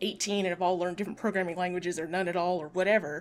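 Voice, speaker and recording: A woman speaks at a medium pitch in an ordinary speaking voice, her pitch variation ordinary. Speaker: podcast co-host. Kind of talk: casual book discussion podcast.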